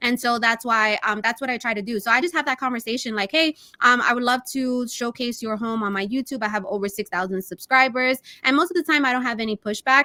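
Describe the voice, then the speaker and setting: A woman talks at a very fast pace in a high voice with a New York accent. Her tone is bright and sharp, her pitch varies in an ordinary way, and the sound is dry and close with no echo. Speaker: real estate agent. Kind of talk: interview. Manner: casual, many fillers.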